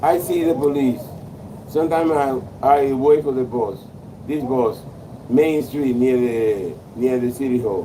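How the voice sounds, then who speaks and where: Amid noticeable background noise and audible room echo, a man speaks at a fairly slow pace in a medium pitch with ordinary pitch variation and long, frequent pauses. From Dominican Republic. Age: 60s. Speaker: military veteran. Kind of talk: casual chat.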